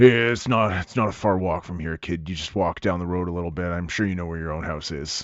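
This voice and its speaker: A man talks in a put-on character voice, raspy and very deep and low in pitch. He goes at a very fast pace with fairly even intonation. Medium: actual play. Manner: casual, brisk.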